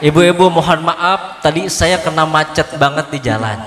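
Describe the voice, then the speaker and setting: A man is heard over noticeable background noise. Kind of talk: polite, formal address to an audience. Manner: apologetic, courteous.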